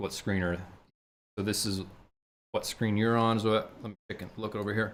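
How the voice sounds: A put-on character voice, mumbling at a moderate pace in a monotone, flat intonation. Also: man, fairly low pitch for a man.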